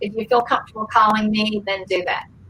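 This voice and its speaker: A woman with a Georgia accent speaks in a fairly high pitch, her tone bright and sharp. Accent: Southern (Georgia). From Georgia, US South. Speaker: former actress and pageant contestant. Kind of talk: interview storytelling. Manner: hesitant, many fillers.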